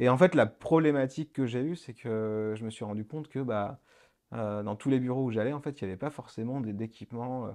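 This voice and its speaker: A man's voice, dark and mellow in tone, moves through ordinary pitch variation over a quiet background. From France, Le Mans. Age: 30s. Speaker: start-up founder. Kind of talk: radio interview. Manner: halting, many fillers.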